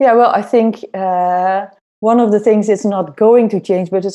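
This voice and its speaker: A woman with a Dutch accent talks at a moderate pace in a dark, mellow tone with fairly even intonation, against a quiet background. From Netherlands. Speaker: head of innovation at an airline. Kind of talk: interview.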